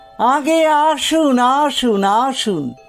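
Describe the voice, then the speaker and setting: A man speaks in a put-on character voice over faint background music. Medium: read story. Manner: humble, deferential, ingratiating.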